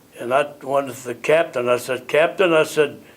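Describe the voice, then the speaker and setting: A man with a Midwestern American accent and ordinary pitch variation. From US Midwest (Illinois). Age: 90s. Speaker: war veteran. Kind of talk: oral history interview. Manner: halting, repetitive.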